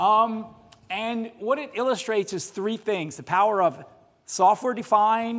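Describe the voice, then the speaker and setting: With an American accent, a man speaks at a high pitch on a very clean recording with a silent background. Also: ordinary pitch variation, moderate pace. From United States. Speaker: automotive software engineer, conference speaker. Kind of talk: conference talk. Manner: casual, with many fillers.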